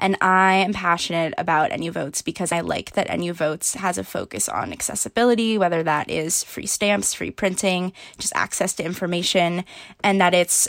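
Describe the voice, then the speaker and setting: Over a very clean recording with a silent background, a woman talks at a fairly quick pace in a plain, everyday voice with fairly low pitch. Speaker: university student, voting activist. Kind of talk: interview.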